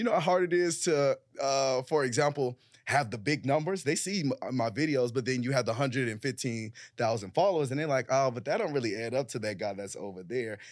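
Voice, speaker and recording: At a fairly quick pace, a man speaks in a medium pitch with lively intonation. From Chicago, South Side. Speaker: content creator and small business owner. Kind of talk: casual panel discussion.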